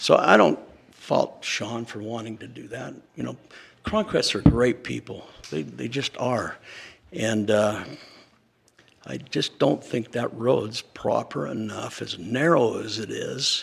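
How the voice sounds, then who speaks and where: At a very slow pace, a man speaks with long, frequent pauses. His loudness rises and falls in big swings. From Utah (Cache Valley). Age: 70s. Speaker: local landowner giving public comment. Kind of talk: public comment at a meeting. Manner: halting, with many fillers.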